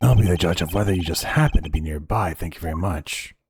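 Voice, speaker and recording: A man puts on a character voice with a very deep, low pitch. He speaks at a very fast pace. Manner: smug, villainous, haughty.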